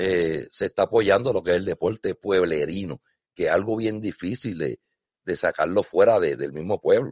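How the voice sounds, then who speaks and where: Behind this speech, the background is quiet. A man talks at a moderate pace. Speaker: sailing podcast host. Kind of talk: casual chat. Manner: animated.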